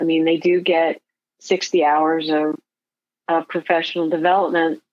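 At a fairly slow pace, a woman speaks at a fairly low pitch in a plain, everyday voice. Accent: American. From Michigan, Detroit area. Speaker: gifted education advocacy director. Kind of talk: interview.

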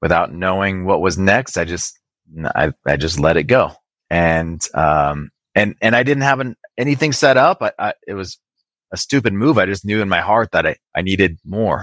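With an American accent and a fairly low pitch, a man speaks at a moderate pace with lively intonation in a dry, close sound with no echo. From Wisconsin to age 8, then Southern California. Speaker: IT business owner. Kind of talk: interview conversation. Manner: hesitant, many repeated words and fillers.

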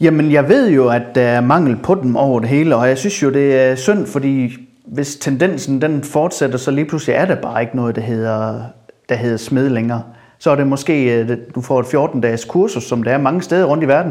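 Medium-pitched male speech at a moderate pace, its pitch varying in an ordinary way. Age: 40s. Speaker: welding company founder. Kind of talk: casual interview. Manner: hesitant, many fillers and repeats.

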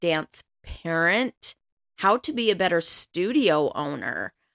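Speaking at a very slow pace, a woman with an American accent has a fairly low pitch. The recording is very clean with a silent background and a dry, close sound with no echo. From Colorado. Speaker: podcast host, dance mom. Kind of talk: casual monologue.

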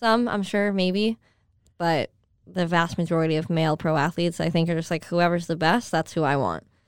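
In an American accent, a woman with a plain, everyday voice speaks at a fairly quick pace and fairly low pitch, with ordinary pitch variation and very even loudness, in a very clean recording with a silent background. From upstate New York. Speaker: social media manager for a hockey team. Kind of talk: casual chat.

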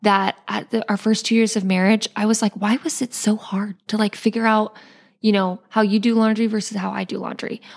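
A somewhat breathy woman's voice, fairly high in pitch and flat, monotone in intonation, at a fairly quick pace, in a very clean recording with a silent background and a dry, close sound with no echo. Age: 20s. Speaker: boutique owner. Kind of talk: interview.

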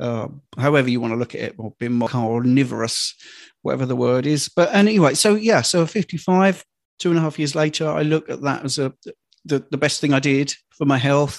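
A man talks at a fairly quick pace in a fairly high pitch, with ordinary pitch variation. He has an unremarkable speaking voice, and the background is quiet. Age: 50s. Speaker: health and fitness coach. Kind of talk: interview.

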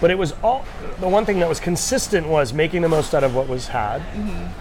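A fairly high-pitched man with an American accent at a fairly quick pace, with audible room echo and noticeable background noise. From US New England, Rhode Island. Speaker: chef. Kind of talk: casual interview.

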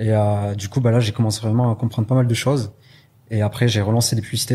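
In a dark, mellow, somewhat breathy voice, a man speaks at a fairly low pitch with monotone, flat intonation. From southwest France (Pau). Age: 20s. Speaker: e-commerce entrepreneur. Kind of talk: interview.

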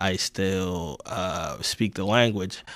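In a New York accent, a man speaks very slowly with a fairly low pitch and fairly even intonation. The recording is very clean, with a silent background. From Ghana, came of age in South Bronx, New York. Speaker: podcast guest, producer. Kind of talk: casual political talk.

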